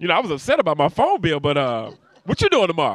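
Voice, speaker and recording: In a dry sound with no echo, a man talks at a moderate pace in an animated tone, with vocal fry and very wide pitch swings. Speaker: comedian; comedian interview guest. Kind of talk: casual interview with comic bits. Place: street. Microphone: handheld.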